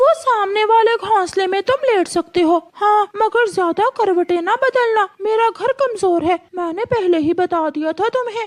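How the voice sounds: A cartoonish character voice talks at a moderate pace with an extremely high pitch. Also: hardly any pauses.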